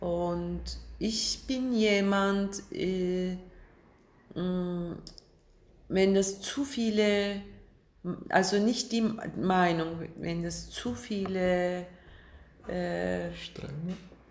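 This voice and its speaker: Very slow and marked by long, frequent pauses, a woman of medium pitch speaks with a Turkish accent and ordinary pitch variation, amid audible room echo and noticeable background noise. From Turkey, Istanbul. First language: Turkish (speaking German). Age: 50s. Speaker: film director. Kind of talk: casual interview over lunch. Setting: at a lunch table. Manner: halting.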